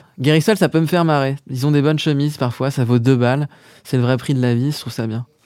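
A man speaks very fast in a fairly high voice, with ordinary pitch variation. The recording is very clean, with a silent background. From Paris, France. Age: 30s. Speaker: musician and songwriter. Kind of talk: casual interview chat.

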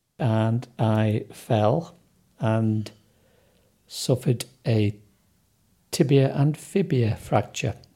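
A man's medium-pitched, dark, mellow voice at a very slow pace, with very even loudness, long and frequent pauses, and a very clean recording over a silent background. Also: ordinary pitch variation. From northern England, Sunderland. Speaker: accident patient interviewee. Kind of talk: interview, personal story.

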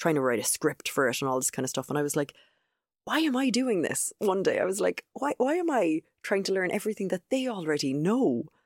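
A woman with an Irish accent speaks at a fairly quick pace in a medium pitch with very wide pitch swings, on a very clean recording with a silent background and a dry, close sound with no echo. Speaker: video trainer. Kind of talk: casual interview chat.

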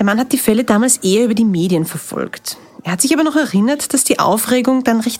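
A woman's fairly high, lively voice at a fairly quick pace, over noticeable background noise. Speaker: reporter. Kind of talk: narrated field reporting. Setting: outdoors on location.

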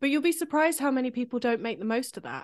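A woman with a British accent and lively intonation, against a quiet background. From UK. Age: 30s. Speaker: composer. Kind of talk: casual chat.

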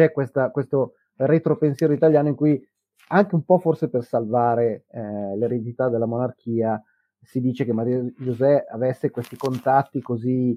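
A man with an ordinary speaking voice talks at a moderate pace and medium pitch with ordinary pitch variation. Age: 50s. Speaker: history podcaster. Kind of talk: casual chat. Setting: live stream.

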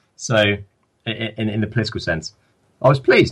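Speaking in an English accent, a man goes at a very fast pace. His voice is somewhat breathy, with ordinary pitch variation. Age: young. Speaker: politics student. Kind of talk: interview.

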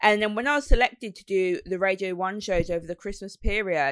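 Lively intonation and a fairly quick pace mark this speaker with a Brummie accent. The sound is dry and close, with no echo. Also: woman. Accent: Brummie (Birmingham English). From West Midlands, England. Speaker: radio presenter and DJ. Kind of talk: casual interview chat.

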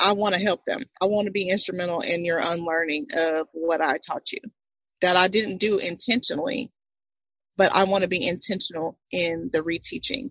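Speaking at a moderate pace with an American accent, a woman uses a medium pitch and a normal speaking voice. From Texas, Houston area. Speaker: podcast host and entrepreneur. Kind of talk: casual interview.

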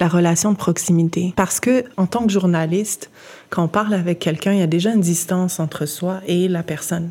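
A woman's somewhat breathy, dark, mellow voice at medium pitch, with fairly even intonation and a moderate pace. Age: 30s. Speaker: journalist and editor. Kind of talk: interview conversation.

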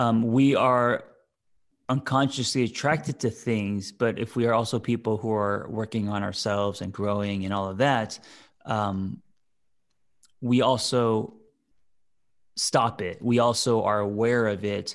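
A man speaks fairly slowly at a fairly low pitch, pausing long and often, against a quiet background. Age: 40s. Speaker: therapist and podcast co-host. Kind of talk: casual chat. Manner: halting, many fillers.

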